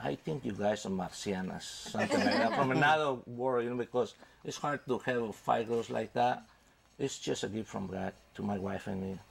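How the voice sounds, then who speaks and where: A man speaks with a Spanish accent at medium pitch. Noticeable background noise runs underneath. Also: ordinary pitch variation, moderate pace. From Mexico. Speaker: father of band members. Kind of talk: TV interview. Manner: halting.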